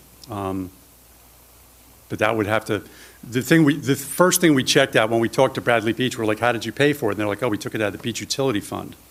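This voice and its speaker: A man rushes through his words very fast, his mid-range pitch shifting in a normal way. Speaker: committee member presenting to council. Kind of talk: public meeting presentation. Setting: council meeting room. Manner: hesitant, many fillers.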